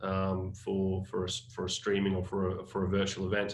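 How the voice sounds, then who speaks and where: This man has a fairly low pitch. He talks in an Australian accent. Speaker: creative agency staff. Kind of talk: webinar panel discussion. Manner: halting, many fillers.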